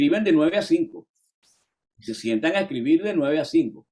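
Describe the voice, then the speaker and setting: In a Venezuelan accent, the speaker has a dark, mellow tone and lively intonation. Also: man. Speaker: musician, singer-songwriter, voice-over and dubbing artist. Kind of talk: interview answer.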